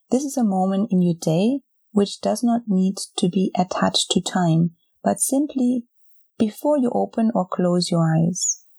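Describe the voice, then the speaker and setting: A woman with a dark, mellow tone and medium pitch speaks at a fairly slow pace in a calm, soothing tone, somewhat breathy, with lively intonation and very even loudness, in a dry, close sound with no echo. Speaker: podcast host and meditation guide. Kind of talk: guided meditation. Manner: slow, calm, soothing, with long pauses; gentle, soft-spoken, instructing listener to repeat phrases silently.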